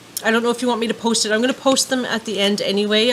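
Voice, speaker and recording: Noticeable background noise is present in the recording. Over it, a woman speaks with fairly even intonation. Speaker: vlogger. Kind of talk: casual vlog talk to camera. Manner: fast; chatty, many fillers.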